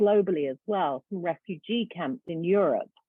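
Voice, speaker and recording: A woman's lively intonation in a British accent. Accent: British accent, noticeable. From UK. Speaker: education nonprofit founder. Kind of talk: presentation.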